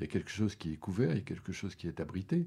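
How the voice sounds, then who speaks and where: A man's voice with a dark, mellow tone. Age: 60s. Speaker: sculptor and academy member hosting an interview. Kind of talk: interview conversation about art. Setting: indoor recording at the academy premises. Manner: halting, many hesitations and repetitions.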